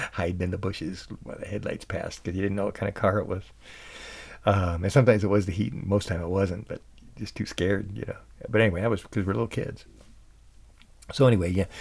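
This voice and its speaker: A soft-spoken man with an American accent talks very fast, leaving long, frequent pauses. His pitch varies in an ordinary way, and the recording is very clean with a silent background. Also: fairly low pitch for a man. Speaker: podcast host and musician. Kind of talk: casual storytelling monologue. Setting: home recording at night. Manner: halting.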